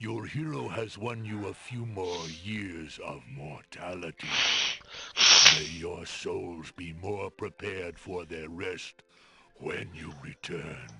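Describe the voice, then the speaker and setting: Putting on a character voice, a man speaks fairly slowly in a very deep, low pitch with ordinary pitch variation. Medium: video game. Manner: solemn, slow, grave.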